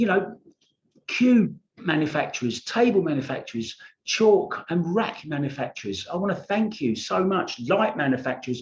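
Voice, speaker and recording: A man's high-pitched voice with a British accent, very wide pitch swings, and a moderate pace. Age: 60s. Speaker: pool vlogger. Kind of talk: casual vlog commentary. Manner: informal, rambling asides.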